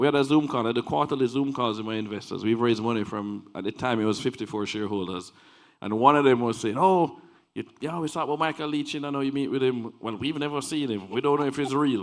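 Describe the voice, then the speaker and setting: The speaker is a man with ordinary pitch variation. He talks very fast. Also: medium pitch for a man. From Jamaica. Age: 40s. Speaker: investment company founder. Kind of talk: storytelling in an interview.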